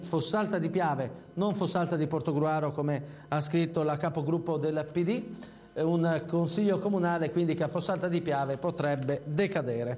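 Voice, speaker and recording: A man speaks at a moderate pace with a fairly high pitch and ordinary pitch variation. His loudness stays very even, with music in the background. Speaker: TV news journalist. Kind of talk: local TV news bulletin read.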